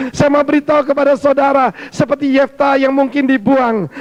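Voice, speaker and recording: A man with an extremely high pitch talks in an animated tone over noticeable background noise. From Indonesia, Surabaya (East Java). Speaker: pastor. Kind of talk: sermon.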